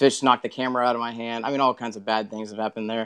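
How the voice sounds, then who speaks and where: In a Texan accent, a man speaks at a medium pitch with a dry, close sound and no echo. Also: quiet background. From Texas. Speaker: tournament kayak angler. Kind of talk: podcast interview.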